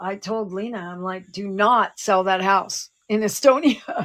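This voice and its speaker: At a very slow pace, a woman of medium pitch speaks with ordinary pitch variation. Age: 60s. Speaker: psychic show co-host. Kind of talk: casual chat.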